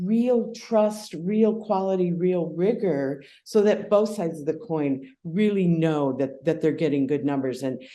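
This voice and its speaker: A woman with an American accent talks at a medium pitch in a dark, mellow tone, with lively intonation and hardly any pauses. Audible room echo surrounds her voice. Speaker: crypto valuation expert. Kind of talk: podcast interview. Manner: hesitant, with repetitions.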